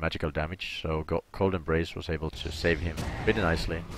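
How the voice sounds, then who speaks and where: His speech carries a non-native accent. This man keeps to a moderate pace. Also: very clean recording, silent background. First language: not English. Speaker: streamer and game analyst. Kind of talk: gameplay analysis commentary. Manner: halting, self-correcting.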